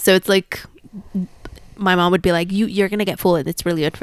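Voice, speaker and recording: In a dry, close sound with no echo, a woman speaks at a medium pitch with a Spanish accent. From Mexico City. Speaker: podcast guest, plant enthusiast. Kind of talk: casual chat.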